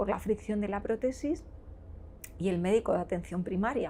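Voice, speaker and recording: A woman speaks at a moderate pace in a medium pitch, her voice somewhat breathy with a dark, mellow tone. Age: 40s. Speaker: nurse and cancer patient. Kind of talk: interview answer.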